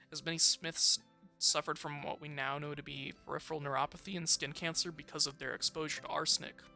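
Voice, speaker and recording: Over music in the background, the speech goes at a very fast pace. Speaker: student. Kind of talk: video essay narration. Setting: home recording, poor mic quality. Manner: some stuttering.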